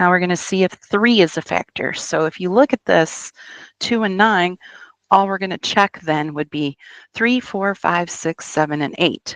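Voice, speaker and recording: A woman talks in an unremarkable speaking voice at medium pitch and a moderate pace, with ordinary pitch variation. The sound is dry and close with no echo, over a quiet background. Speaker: teacher. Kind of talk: tutorial.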